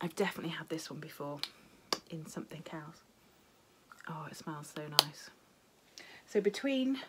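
Noticeable background noise sits behind a woman's voice. She sounds somewhat breathy, with lively intonation. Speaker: cross-stitch video blogger. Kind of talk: casual chat. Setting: home video recording. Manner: chatty, rambling. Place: home room. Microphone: phone near.

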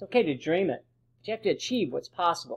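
A man's high-pitched voice against a quiet background. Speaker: presenter. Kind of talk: lecture. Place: home room. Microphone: webcam.

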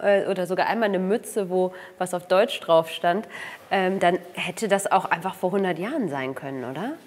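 A woman talks at a moderate pace with ordinary pitch variation. She has a plain, everyday voice. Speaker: film interviewer. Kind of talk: interview. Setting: studio. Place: studio. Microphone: lapel.

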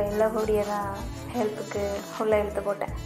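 A woman's voice sits at a fairly high pitch. Behind her, music can be heard. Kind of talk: romantic audio story narration. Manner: hushed, soft-spoken.

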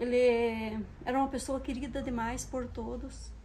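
Against light background noise, a woman with a fairly high pitch talks in a dark, mellow tone with monotone, flat intonation. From Paraná, southern Brazil (Cascavel). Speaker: plant and decoration vlogger. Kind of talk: emotional personal vlog. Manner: halting. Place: garden. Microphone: phone near.

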